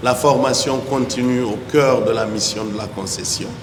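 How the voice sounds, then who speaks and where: A man talks at medium pitch with monotone, flat intonation. Noticeable background noise and audible room echo fill the recording. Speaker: hospital director giving opening speech. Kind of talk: formal opening speech. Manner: formal.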